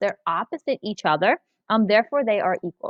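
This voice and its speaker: A fairly high-pitched female voice with very wide pitch swings. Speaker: math teacher. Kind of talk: tutorial. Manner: hesitant with frequent fillers.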